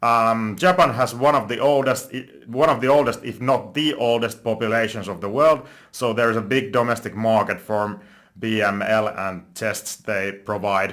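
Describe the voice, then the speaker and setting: Here a man of medium pitch speaks at a moderate pace with ordinary pitch variation. The recording is very clean, with a silent background. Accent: Finnish. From Finland. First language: Finnish. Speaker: stock investing youtuber. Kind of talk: investment analysis monologue. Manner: halting, self-correcting.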